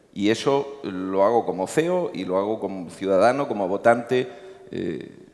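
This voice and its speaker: A man's fairly low voice with a Murcian accent, over noticeable background noise. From Murcia, Spain. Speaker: company CEO. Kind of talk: panel discussion. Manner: hesitant, many fillers.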